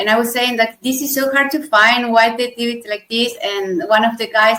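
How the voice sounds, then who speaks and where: A woman with a Spanish accent speaks at a moderate pace in a high pitch. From Argentina. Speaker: software tester and conference speaker. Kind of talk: interview.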